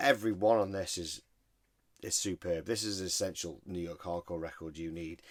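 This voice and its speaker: A man with a British accent and a very deep, low pitch speaks at a fairly quick pace on a very clean recording with a silent background. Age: 40s. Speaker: record collector video host. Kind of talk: casual chat. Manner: animated.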